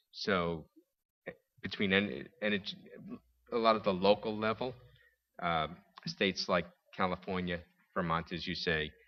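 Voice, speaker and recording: With a New York accent, a man speaks at a moderate pace. His intonation stays fairly even. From New York City. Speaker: panelist. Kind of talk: panel discussion. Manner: halting.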